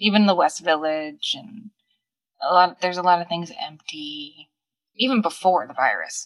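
Lively intonation and big swings in loudness from a woman with a fairly low pitch and a Long Island accent. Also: moderate pace. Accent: Long Island New York. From Long Island, New York. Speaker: vintage shop owner. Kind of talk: casual chat.

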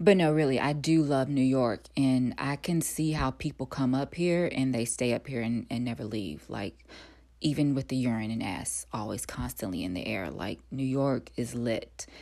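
On a very clean recording with a silent background, a woman with an American accent speaks at a moderate pace in a very deep, low pitch with a dark, mellow, relaxed tone and lively intonation. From North Carolina. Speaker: actor and podcast host. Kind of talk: casual solo monologue. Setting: home recording.

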